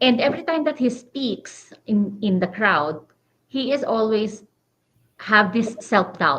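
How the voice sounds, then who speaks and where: At a fairly slow pace, a woman with a strong non-native accent speaks at a fairly high pitch with lively intonation. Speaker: digital business owner, podcast co-host. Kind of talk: casual chat.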